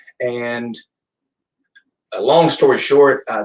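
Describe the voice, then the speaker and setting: A man talks with a Middle Tennessee accent. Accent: US Southern (Middle Tennessee). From Tennessee, Gallatin area. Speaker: brewery and restaurant owner. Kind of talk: casual interview. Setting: office, live stream. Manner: halting with fillers.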